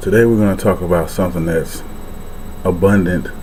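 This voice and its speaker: Quiet and very deep, a man's voice moves at a moderate pace with fairly even intonation amid noticeable background noise and audible room echo. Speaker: vlogger. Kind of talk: casual vlog talk. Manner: speaking low, quiet.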